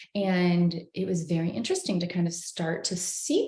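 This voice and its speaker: Somewhat breathy, this voice with an American accent moves at a fairly slow pace. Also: woman. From North Carolina, US South. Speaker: singer, actor and hypnosis coach. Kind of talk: casual interview on a livestream. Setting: live video stream.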